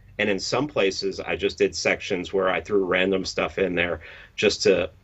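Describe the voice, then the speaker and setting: Speaking in a New York accent, a man is heard. His pace is moderate. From New York City, the Bronx. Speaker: podcast host and meme creator. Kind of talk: interview conversation. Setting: live-streamed interview. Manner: blunt, direct.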